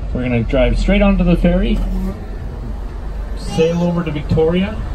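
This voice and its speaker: A man speaks over background noise that is noticeable. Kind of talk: passenger announcement. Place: bus.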